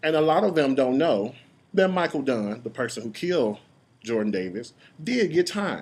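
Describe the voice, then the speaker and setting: With vocal fry and a fairly high pitch, this man's voice swings very widely in pitch. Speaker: YouTube parody creator and commentator. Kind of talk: rant. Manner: animated.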